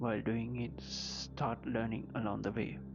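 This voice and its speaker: Music in the background behind a medium-pitched man with very wide pitch swings. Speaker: self-help vlogger. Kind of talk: motivational talk.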